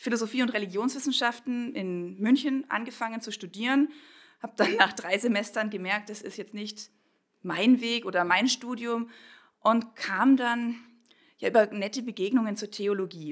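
A normal speaking voice at a moderate pace, with ordinary pitch variation and big swings in loudness. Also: woman, fairly high pitch for a woman. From Bavarian Swabia, Kaufbeuren. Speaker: pastor. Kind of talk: interview.

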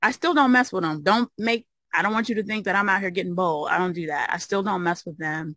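A woman with an American accent talks at a very fast pace in a bright, sharp tone, with ordinary pitch variation. The sound is dry with no echo, and the background is quiet. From US Midwest, Chicago. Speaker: occupational therapist and mobile home investor; interview guest. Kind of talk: interview. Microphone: video call.

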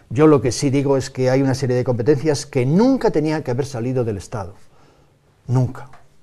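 A man's dark, mellow voice at a fairly quick pace, with ordinary pitch variation and a quiet background. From Spain, León province; Spain. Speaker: farmers' union leader and provincial politician; guest. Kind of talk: TV talk show interview. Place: studio.

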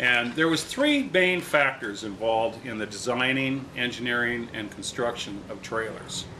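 A man at medium pitch talks at a moderate pace with ordinary pitch variation, with light background noise behind him. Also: hardly any pauses. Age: 60s. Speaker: vintage trailer restorer and video host; channel host. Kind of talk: tutorial; casual explanatory talk to camera. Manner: casual, halting with fillers. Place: garage.

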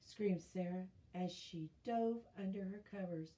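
With ordinary pitch variation, the recording is reading aloud in a natural voice.

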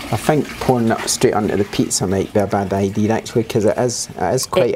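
There is noticeable background noise behind this speaker. A man talks with ordinary pitch variation. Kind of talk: casual cooking tutorial. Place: kitchen.

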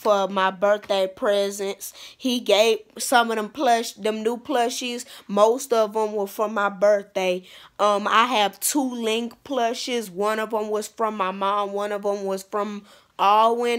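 Against a quiet background, a woman speaks at a very slow pace in a monotone, flat intonation. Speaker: vlogger. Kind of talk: casual vlog chat. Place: home room. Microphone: phone near.

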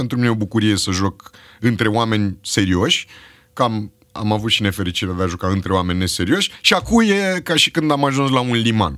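The background is quiet as a man speaks at a moderate pace. His voice is fairly low, with ordinary pitch variation. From Romania, Bucharest (Berceni); Romania. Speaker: actor and screenwriter; actor. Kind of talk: casual chat. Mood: relaxed, humorous. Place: studio. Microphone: studio mic.

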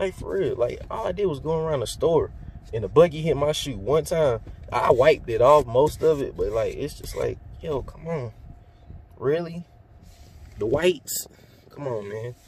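A man at a moderate pace with long, frequent pauses and big swings in loudness, in dry sound with no echo over light background noise. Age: 20s. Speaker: YouTuber vlogger. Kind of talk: casual vlog talk to camera. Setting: in a car. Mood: relaxed, joking.

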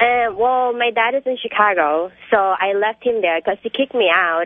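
Recorded with a dry, close sound and no echo, a woman speaks at a moderate pace and medium pitch. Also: ordinary pitch variation.

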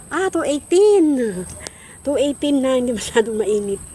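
Ordinary pitch variation from a woman, with noticeable background noise. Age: 60s. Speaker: vlogger. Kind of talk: casual vlog talk. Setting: outdoors on a rooftop.

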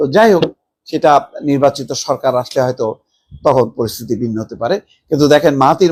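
A man with a normal speaking voice. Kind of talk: news commentary.

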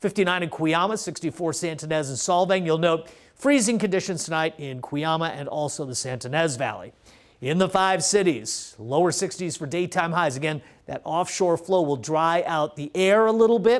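A high-pitched man at a moderate pace, with lively intonation. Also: quiet background. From US West Coast, California Central Coast. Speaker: TV weather forecaster. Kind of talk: local TV weather report, ad-libbed walk through maps and numbers. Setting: TV studio in front of weather graphics. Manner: relaxed, conversational, folksy asides to viewers; steady informative pace, reeling off temperatures. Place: studio. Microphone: lapel.

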